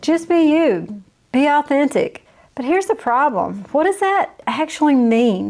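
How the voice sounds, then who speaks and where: A woman is speaking. She has a Southern US accent. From US South. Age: 50s. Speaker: YouTube coach. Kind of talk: tutorial. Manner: casual.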